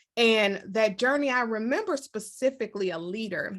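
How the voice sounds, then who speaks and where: A woman with an American accent speaks at a fairly high pitch with ordinary pitch variation, an ordinary speaking voice. The background is quiet. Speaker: leadership coach and author. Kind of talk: interview.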